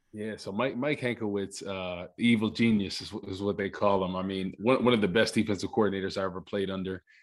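In an unremarkable speaking voice, a man with an American accent speaks fairly quickly at a fairly low pitch, with fairly even intonation against a quiet background. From New Jersey (Rutherford). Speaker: former NFL player, TV analyst. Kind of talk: casual chat.

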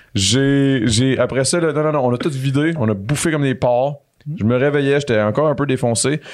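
In a Quebec accent, a man speaks at a medium pitch and a moderate pace with ordinary pitch variation. His loudness stays very even against a quiet background. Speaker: real estate investor. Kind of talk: casual chat. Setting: studio.

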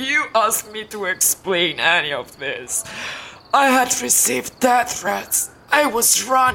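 Using a put-on character voice, a woman speaks at a fairly slow pace with a fairly high pitch. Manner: disoriented, frightened, anguished.

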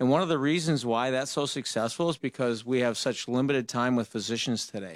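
A man with an American accent speaks in a normal speaking voice at a medium pitch. His pace is fairly quick, and his pitch varies in an ordinary way. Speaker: dentist. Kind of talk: call-in radio talk show. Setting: studio.

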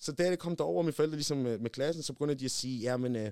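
A man talks at a medium pitch with ordinary pitch variation. The sound is dry and close, with no echo. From Denmark. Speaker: rapper. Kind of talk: casual chat.

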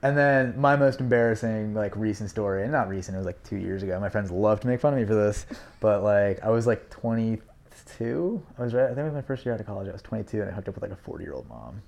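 A man with an American accent talks at a very fast pace and a fairly low pitch. His pitch varies in an ordinary way while his loudness swings widely. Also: hardly any pauses. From Manhattan, New York City. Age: 20s. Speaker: guest. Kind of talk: casual chat.

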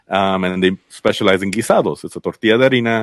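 This man has a very deep, low pitch and an American accent. He talks at a fairly quick pace with ordinary pitch variation. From Los Angeles (Inglewood and Culver City), Mexican family from Zacatecas. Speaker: food journalist. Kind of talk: casual interview. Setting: podcast. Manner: casual, many fillers.

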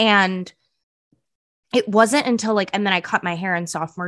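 A woman speaks with an American accent and a bright, sharp tone. The background is quiet. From US West Coast, San Francisco Bay Area. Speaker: podcast co-host. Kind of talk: casual chat. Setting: studio.

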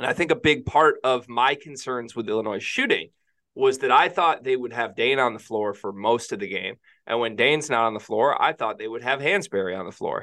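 At a fairly quick pace, an ordinary speaking voice talks with ordinary pitch variation. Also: man, medium pitch for a man. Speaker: sports podcast co-host. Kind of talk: casual chat.

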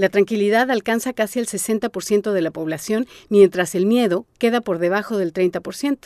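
A woman speaks in a normal speaking voice at a medium pitch, with ordinary pitch variation and a fairly slow pace. She leaves hardly any pauses, and the sound is dry and close with no echo against a quiet background. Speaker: podcast host and narrator. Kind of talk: scripted narration.

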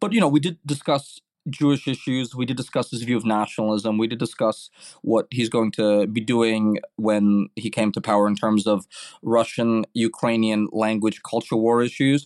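Speaking with a New York accent, a man keeps a moderate pace, fairly even intonation and a medium pitch, the sound dry and close with no echo over a quiet background. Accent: New York American English. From New York City, Brooklyn. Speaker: journalist. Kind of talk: interview.

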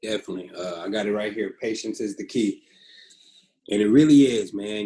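Using an ordinary speaking voice, a man with an American accent talks at a moderate pace, his fairly low pitch showing ordinary variation. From US West Coast, Pasadena, California. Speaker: professional football quarterback. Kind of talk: casual interview.

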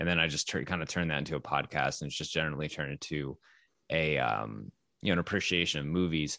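Against a quiet background, a man with an American accent talks at a very fast pace, his very deep, low pitch carrying ordinary pitch variation, a bright, sharp tone, and vocal fry. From Texas. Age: 30s. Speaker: podcast host and baseball writer. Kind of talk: casual interview chat.

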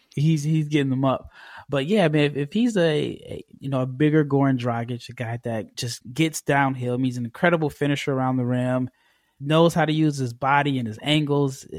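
A man's fairly high, normal speaking voice in an American accent, at a fairly quick pace with ordinary pitch variation, on a very clean recording with a silent background. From United States. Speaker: basketball draft scout. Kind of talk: interview.

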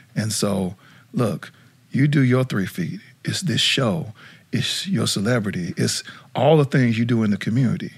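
A man with an American accent speaks at medium pitch and a moderate pace, with lively intonation and vocal fry. Long, frequent pauses break up his speech. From South Dakota, US. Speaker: nonprofit CEO and former college football player. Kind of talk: casual interview chat.

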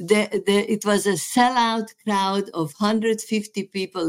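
With a Hungarian accent, a woman speaks very slowly at medium pitch. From Serbia. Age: 80s+. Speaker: therapist. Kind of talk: casual chat. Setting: video call. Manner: animated.

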